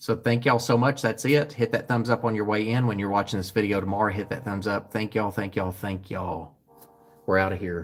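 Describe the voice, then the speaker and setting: A man at a very fast pace, fairly low in pitch, with fairly even intonation. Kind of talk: live-stream sales show sign-off. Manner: loud; talks nonstop.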